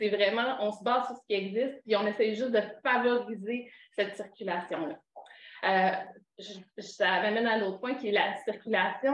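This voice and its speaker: In a room with audible echo, a woman speaks at a fairly high pitch and a moderate pace with ordinary pitch variation. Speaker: knowledge broker in student mental health. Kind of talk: conference talk. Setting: conference with audience. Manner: halting.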